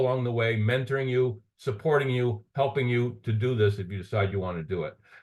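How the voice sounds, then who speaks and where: Speaking at a fairly quick pace, a man has a medium pitch and a somewhat breathy voice. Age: 60s. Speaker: entrepreneur, business opportunity presenter. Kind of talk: sales pitch. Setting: online call. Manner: halting, repeats words.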